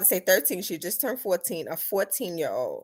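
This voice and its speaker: An animated woman with a New York accent, at a fairly quick pace, on a very clean recording with a silent background. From New York City, the Bronx. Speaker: vlogger. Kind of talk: live stream Q&A. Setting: live stream on laptop.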